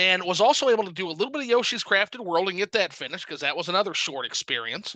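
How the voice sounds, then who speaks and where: A man with a slight Southern US accent talks in a high pitch with very wide pitch swings, the sound dry and close with no echo against a quiet background. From US South. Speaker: gaming YouTuber and reviewer. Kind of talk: casual chat.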